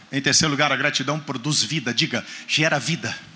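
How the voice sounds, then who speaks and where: Over noticeable background noise, a man with a fairly high pitch speaks in an animated tone. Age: 50s. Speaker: guest preacher. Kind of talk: sermon.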